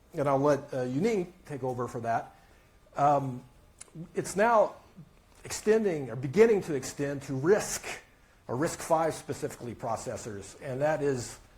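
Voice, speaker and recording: With audible room echo, a man of fairly high pitch speaks at a moderate pace with lively intonation and long, frequent pauses. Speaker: tech analyst. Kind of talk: conference talk. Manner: halting, many fillers.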